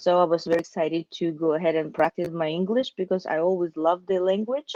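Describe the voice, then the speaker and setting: A woman's fairly low voice with a Russian accent, at a very fast pace and fairly even intonation, in a dry, close sound without echo. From Russia, Siberia (Omsk). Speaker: accountant and business owner. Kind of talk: interview.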